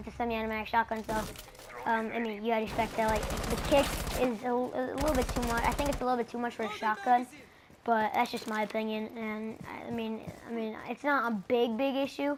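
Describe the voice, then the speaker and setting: Through noticeable background noise, a woman with a fairly high pitch talks at a very fast pace with fairly even intonation. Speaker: gaming YouTuber. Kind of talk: gameplay commentary. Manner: halting, many fillers.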